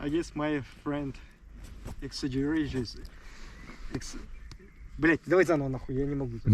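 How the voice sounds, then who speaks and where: This man speaks with a Russian accent at a fairly high pitch. His intonation stays fairly even, and he leaves long, frequent pauses. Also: moderate pace. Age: 20s. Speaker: soldier. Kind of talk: interview. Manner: halting.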